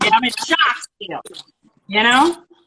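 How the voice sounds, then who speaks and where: With an American accent, a woman speaks in a raised, projected voice at a fairly slow pace, her pitch swinging very widely. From Michigan. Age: 70s. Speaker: tattoo artist. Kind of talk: interview.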